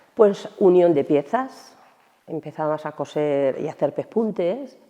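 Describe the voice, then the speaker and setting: A woman's very slow, fairly low-pitched voice. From Almansa, Albacete, Spain. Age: 60s. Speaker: retired shoe factory worker. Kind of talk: interview testimony. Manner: hesitant, with fillers.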